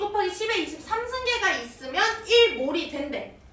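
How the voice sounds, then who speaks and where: A woman speaks in a gentle tone at an extremely high pitch, her pitch swinging very widely. Noticeable background noise and audible room echo surround her. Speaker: chemistry tutor. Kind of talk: live online lecture. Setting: academy classroom, livestream. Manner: gentle, talks to kids as if little.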